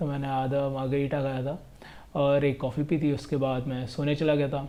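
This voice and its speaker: Fairly high-pitched male speech at a moderate pace, with fairly even intonation. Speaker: travel vlogger. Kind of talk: casual vlog narration. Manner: monotone.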